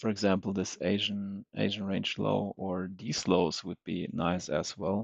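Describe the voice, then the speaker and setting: A quiet man with a fairly low pitch, vocal fry, fairly even intonation and a fairly slow pace. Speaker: day trader streamer. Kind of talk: live trading commentary. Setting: livestream. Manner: halting. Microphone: unstable connection.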